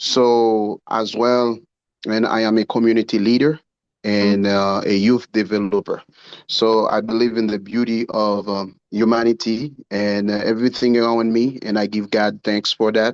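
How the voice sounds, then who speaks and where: A man's medium-pitched voice, monotone and flat, at a moderate pace, with a dry, close sound and no echo. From Haiti. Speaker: ministry founder and community leader. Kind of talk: question at online town hall. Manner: halting, many fillers.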